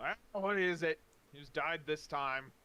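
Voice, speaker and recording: Putting on a gruff character voice, a man talks in a raised, projected voice at a fairly high pitch and a fairly slow pace, with ordinary pitch variation. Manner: irritable.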